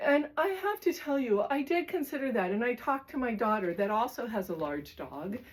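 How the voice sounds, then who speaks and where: A high-pitched woman's voice at a fairly quick pace, with very wide pitch swings, hardly any pauses and noticeable background noise. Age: 60s. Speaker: lifestyle vlogger. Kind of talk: casual talk to camera. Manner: halting, with fillers.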